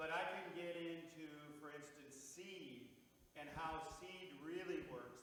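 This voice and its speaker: Fairly high-pitched male voice at a fairly slow pace, with audible room echo and noticeable background noise. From North Dakota (Bismarck). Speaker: farmer and regenerative agriculture speaker. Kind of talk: Q&A answer at a public presentation. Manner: blunt, animated.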